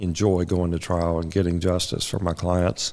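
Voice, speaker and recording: With an American accent, a man speaks at a moderate pace in a very deep, low pitch, on a very clean recording with a silent background. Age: 60s. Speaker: trial lawyer. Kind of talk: interview.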